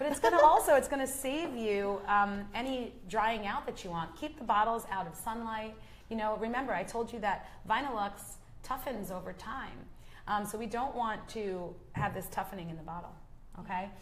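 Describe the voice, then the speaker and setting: A woman with a US East Coast accent speaks at a moderate pace in a fairly high voice, her pitch varying in an ordinary way, with audible echo from the room. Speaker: nail product educator. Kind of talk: educational chat on a live show. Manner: conversational with frequent fillers.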